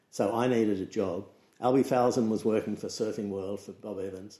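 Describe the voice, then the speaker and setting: With an Australian accent, a man talks at a fairly quick pace in a fairly low pitch, his tone dark and mellow and his intonation monotone and flat. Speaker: surf photographer and magazine editor. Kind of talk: casual interview chat.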